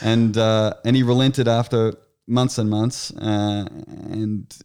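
Flat and monotone, a man with an Australian accent speaks with fairly low pitch. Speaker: sports agent. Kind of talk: casual interview.

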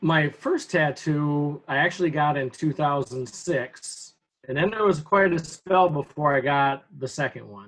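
A man with an American accent speaks at a fairly high pitch with ordinary pitch variation. His is an unremarkable speaking voice, with big swings in loudness. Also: fairly slow pace. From Upper Peninsula of Michigan. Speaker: high school teacher. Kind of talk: interview. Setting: video call.

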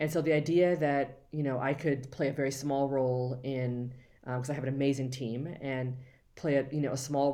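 A woman with a very deep, low voice speaks at a moderate pace in a flat monotone, her tone dark and mellow, with audible echo from the room. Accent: American. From Los Angeles, US. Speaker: museum education executive and curator. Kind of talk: interview.

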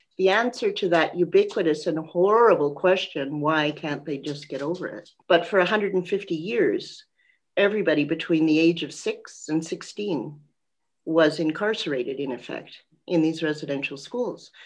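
Against a quiet background, a woman with an unremarkable speaking voice talks at a moderate pace in a Canadian accent, her fairly low pitch showing ordinary pitch variation. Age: 60s. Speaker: author and lawyer. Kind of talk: interview.

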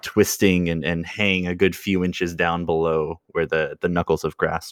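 At a moderate pace, a man speaks with a very deep, low pitch and monotone, flat intonation. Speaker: dungeon master. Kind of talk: tabletop roleplaying game session.

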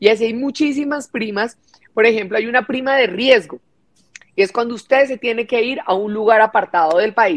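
A woman with a fairly high pitch and ordinary pitch variation talks at a moderate pace in a plain, everyday voice. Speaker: congresswoman. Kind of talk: parliamentary speech.

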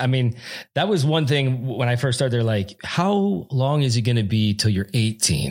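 A man with an ordinary speaking voice, medium pitch, lively intonation and a fairly slow pace. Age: 40s. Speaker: podcast host. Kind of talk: casual interview chat.

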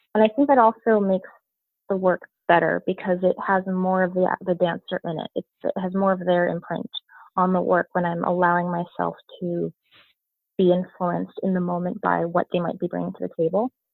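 A woman with a plain, everyday voice, medium pitch, fairly even intonation and a fairly quick pace, in an American accent. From New York area (Westchester). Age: 30s. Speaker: choreographer. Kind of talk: interview.

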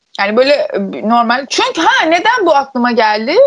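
Her high-pitched voice swings very widely in pitch as the woman talks. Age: 20s. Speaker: podcast co-host. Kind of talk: casual chat.

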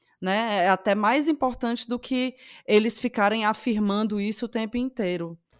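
Speaking at a moderate pace in a Cearense accent, a woman with a fairly high pitch and ordinary pitch variation comes through a dry, close sound with no echo on a very clean recording with a silent background. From Ceará, Brazil. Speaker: podcast co-host. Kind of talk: casual chat.

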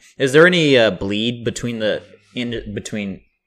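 On a very clean recording with a silent background, a man with an American accent speaks in a medium pitch with ordinary pitch variation and an ordinary speaking voice. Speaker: podcast host. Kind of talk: scripted intro; casual chat.

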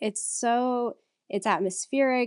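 A woman's fairly high voice with a slight Southern US accent, at a very slow pace, in a dry, close sound with no echo and a quiet background. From US Texas. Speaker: optometrist and podcast co-host. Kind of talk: casual podcast chat.

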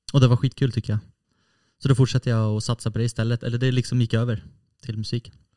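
Dark and mellow in tone, the voice runs at a very fast pace in a monotone, flat delivery, the sound dry and close with no echo. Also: man, medium pitch for a man. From Sweden, Norrtälje. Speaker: guitarist. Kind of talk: casual chat.

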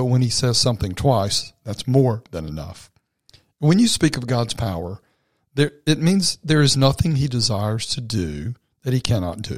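A man speaks at a moderate pace and a medium pitch, his voice somewhat breathy. His pitch swings very widely on a very clean recording with a silent background. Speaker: devotional podcast host. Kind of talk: short devotional talk; prayer.

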